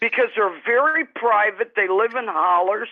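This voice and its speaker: Speaking at a fairly slow pace, a woman uses an unremarkable speaking voice pitched fairly high. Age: 60s. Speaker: true crime panelist. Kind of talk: casual chat. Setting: live stream panel.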